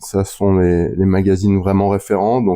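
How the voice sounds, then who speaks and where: A man talks at a moderate pace. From France (Lorraine). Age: 50s. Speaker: business development for a magazine publisher. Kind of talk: interview. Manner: hesitant, many fillers.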